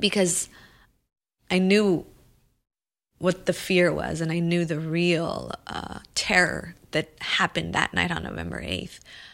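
Speaking at a fairly slow pace with an American accent, a woman comes through on a very clean recording with a silent background. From Los Angeles, US. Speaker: filmmaker and activist. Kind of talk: interview.

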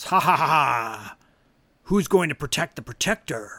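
A put-on character voice at low-to-middle pitch speaks at a moderate pace in a very clean recording with a silent background. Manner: mocking, villainous laugh.

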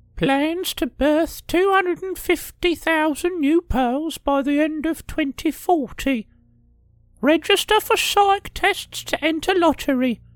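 The voice is a put-on character with a high pitch. Its pace is very slow. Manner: mumbling to herself.

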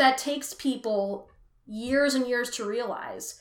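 A woman with an American accent uses a raised, projected voice with a bright, sharp tone and speaks at a very slow pace. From US West Coast (Richmond, California). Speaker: musician and performer. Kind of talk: casual interview chat.

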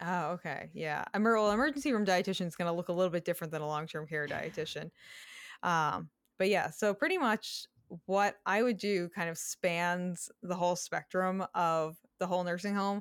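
In a normal speaking voice, a woman with an American accent talks at a moderate pace and a fairly low pitch with ordinary pitch variation, recorded very cleanly against a silent background in dry, close sound with no echo. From Massachusetts. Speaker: dietitian. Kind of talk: casual interview.

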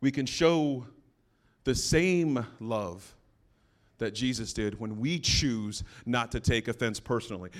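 The pace is very slow. Long pauses come often. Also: man, medium pitch for a man. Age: 40s. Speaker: pastor. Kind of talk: sermon. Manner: informal, humorous.

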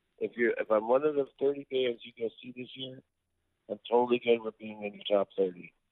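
A man with an ordinary speaking voice talks in a medium pitch with ordinary pitch variation. His loudness swings a lot. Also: moderate pace. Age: 50s. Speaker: rock singer-songwriter. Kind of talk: casual interview.

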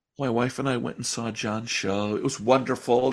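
A man with an American accent and a plain, everyday voice talks at a moderate pace, with a medium pitch and fairly even intonation. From Chicago. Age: 50s. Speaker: magician. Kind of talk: casual chat. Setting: video call.

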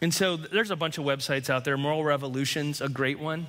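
Here is an unremarkable speaking voice with fairly even intonation. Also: man. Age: 40s. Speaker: pastor. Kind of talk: sermon.

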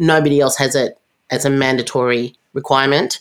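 Recorded very cleanly against a silent background, a woman with an Australian accent talks at a very deep, low pitch with fairly even intonation. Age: 50s. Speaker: tech company founder and CEO. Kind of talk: interview conversation.

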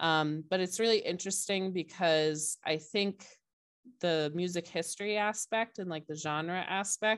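A woman speaks at a fairly slow pace in a fairly low voice with an American accent. Hers is a plain, everyday voice with ordinary pitch variation. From Cape Cod, Massachusetts. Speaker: high school music technology teacher. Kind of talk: interview conversation.

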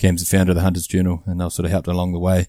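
Over a silent background on a very clean recording, a man with a New Zealand accent speaks in a very deep, low voice with a dark, mellow tone and monotone, flat intonation. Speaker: hunter and father. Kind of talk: casual chat.

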